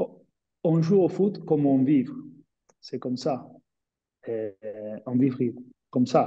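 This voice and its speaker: Speaking very slowly with long, frequent pauses, a man with a Spanish accent has a somewhat breathy, dark, mellow tone and a fairly high pitch. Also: ordinary pitch variation. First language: Spanish (speaking French). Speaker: former professional footballer. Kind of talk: webinar panel discussion. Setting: online webinar. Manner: halting, searching for words.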